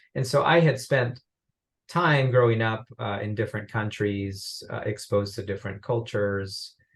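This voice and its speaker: Against a quiet background, a man talks at a moderate pace and medium pitch, somewhat breathy and with ordinary pitch variation. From Uruguay. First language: Spanish. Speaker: business professor. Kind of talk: interview.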